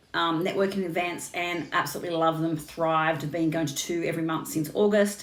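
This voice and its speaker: Fairly quick speech with fairly even intonation and audible room echo. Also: woman. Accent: Australian. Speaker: business coach. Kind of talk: casual chat. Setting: Instagram live stream. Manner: fast.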